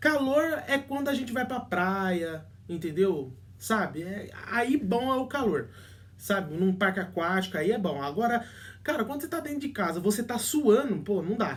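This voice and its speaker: Very wide pitch swings at a moderate pace. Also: man, high pitch for a man. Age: 20s. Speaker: relationship advice youtuber. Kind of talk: casual vlog talk. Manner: halting, many fillers and restarts.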